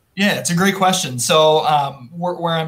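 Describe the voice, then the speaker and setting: This man speaks with an Upper Midwest accent. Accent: Upper Midwest (Minnesota). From central Minnesota. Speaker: boat dealership general manager. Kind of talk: casual video interview.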